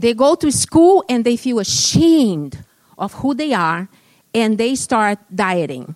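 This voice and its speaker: A woman speaks at a very slow pace and a fairly high pitch, with very wide pitch swings. The sound is dry and close, with no echo. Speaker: guest preacher. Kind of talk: sermon. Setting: church.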